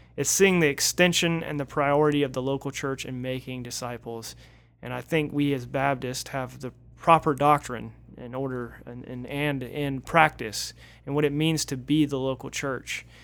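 On a very clean recording with a silent background, a man with an American accent and a plain, everyday voice speaks at a fairly high pitch with big swings in loudness. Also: fairly even intonation, moderate pace. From Northeast Florida. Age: 30s. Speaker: pastor. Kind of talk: casual chat.

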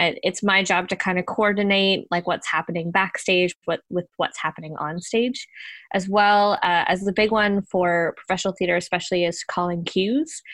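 With a Newfoundland accent, a woman speaks at a moderate pace and fairly even intonation, the sound dry and close with no echo over a quiet background. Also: medium pitch for a woman. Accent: Newfoundland-tinged Canadian English. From Ontario, Canada. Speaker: theater stage manager. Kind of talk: casual interview. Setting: video call.

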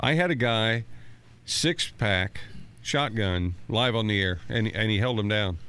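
The speaker has an unremarkable speaking voice with lively intonation. The pace is fairly slow and the loudness very even. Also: man, fairly low pitch for a man. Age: 50s. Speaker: station manager. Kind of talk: casual storytelling. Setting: studio.

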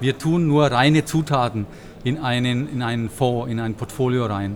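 This is a man in a normal speaking voice. His pitch is medium, with ordinary variation. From Bavaria. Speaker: fund manager. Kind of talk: interview. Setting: conference venue.

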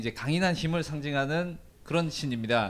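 A man with an unremarkable speaking voice talks at a moderate pace, his fairly high pitch marked by lively intonation. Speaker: travel writer and Turkey expert. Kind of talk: casual interview, telling life story. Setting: live event with audience.

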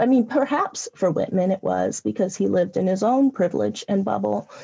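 A woman speaks with an American accent. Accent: Southwestern US accent with Southern elements. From US West (California). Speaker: poet. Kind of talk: interview with poetry readings. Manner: excitable when talking; reads poems slower, conversational.

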